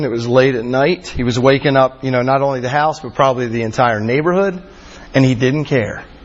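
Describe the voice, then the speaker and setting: Over noticeable background noise, a man with an American accent talks at a fairly quick pace with fairly even intonation. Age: 40s. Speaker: campus minister. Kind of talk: sermon.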